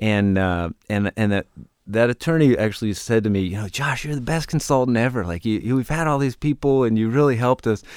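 A man talks at a fairly quick pace with medium pitch and ordinary pitch variation, in a very clean, dry, close recording with a silent background and no echo. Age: 40s. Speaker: business consultant and nonprofit founder. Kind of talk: interview storytelling. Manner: halting, frequent fillers.

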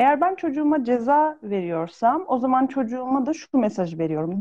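A woman speaks in a high pitch with very wide pitch swings and a dark, mellow tone. Her pace is moderate, and the background is quiet. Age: 30s. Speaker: pediatrician and parenting consultant. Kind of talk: expert interview.

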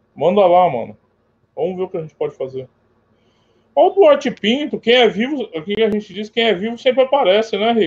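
High-pitched with lively intonation, a man talks at a fairly quick pace while leaving long, frequent pauses. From São Paulo, Brazil. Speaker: sports betting tipster. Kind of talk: casual chat.

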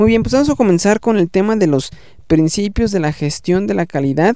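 A dark, mellow tone with very wide pitch swings. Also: man. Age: 30s. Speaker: podcast host, management consultant. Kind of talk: solo educational podcast. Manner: halting, many fillers and repetitions.

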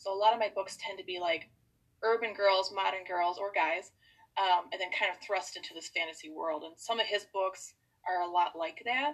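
Speaking at a moderate pace with an American accent, a woman uses an unremarkable speaking voice at a medium pitch with lively intonation. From US Midwest, Wisconsin. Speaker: author. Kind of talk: casual chat.

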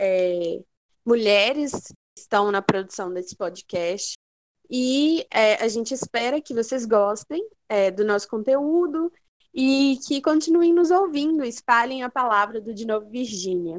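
A woman's fairly high voice, very slow, with lively intonation and a dry, close sound with no echo. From Belo Horizonte, Brazil. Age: 20s. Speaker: podcast host, writer. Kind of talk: casual chat.

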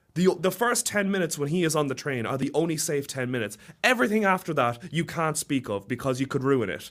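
Very fast and animated, a man with a British accent speaks at a fairly high pitch with very wide pitch swings. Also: very clean recording, silent background. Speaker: student guest. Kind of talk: casual chat. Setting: studio.

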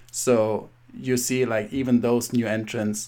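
With a German accent, the speaker talks at a fairly slow pace in a monotone, flat intonation. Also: man. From Germany. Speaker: podcast host. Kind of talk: interview. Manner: halting.

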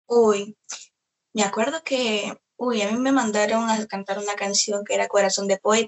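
Fairly slow and fairly even in intonation, a woman speaks. Her pitch is fairly high. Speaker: singer and celebrity impersonator. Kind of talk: interview.

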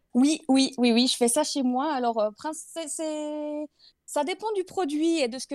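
Recorded very cleanly with a silent background and a dry, close sound with no echo, a woman talks at a fairly slow pace in a high pitch with ordinary pitch variation. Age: 30s. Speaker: product and portrait photographer. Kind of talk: casual interview. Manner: hesitant, many fillers.

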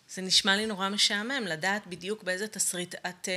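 A woman's ordinary speaking voice, medium-pitched and at a fairly quick pace. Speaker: podcast co-host, coach. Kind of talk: casual chat.

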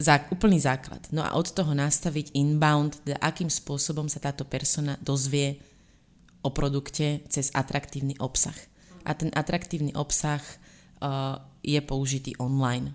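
The woman's very deep, low voice stays monotone with flat intonation at a fairly slow pace. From Slovakia. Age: young. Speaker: marketing consultant and blogger. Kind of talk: interview.

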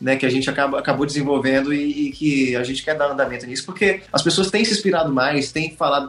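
A man talks while music plays in the background. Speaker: pet content creator and voice actor. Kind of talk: casual interview chat.

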